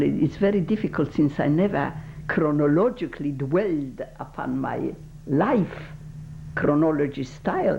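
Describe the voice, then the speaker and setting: A woman with a Polish accent speaks in a very deep, low pitch with lively intonation. Noticeable background noise runs underneath. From Poland. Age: 80s+. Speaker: Holocaust survivor. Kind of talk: oral history interview. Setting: recorded interview. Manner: halting.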